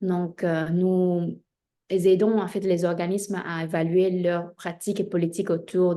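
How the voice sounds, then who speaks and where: With a Spanish accent, a woman speaks at a fairly low pitch in a dark, mellow tone, her intonation monotone and flat. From Spain, of Chinese descent. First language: Spanish (speaking French). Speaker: diversity consultant, entrepreneur. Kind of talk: interview self-introduction. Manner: hesitant, many filler 'euh'.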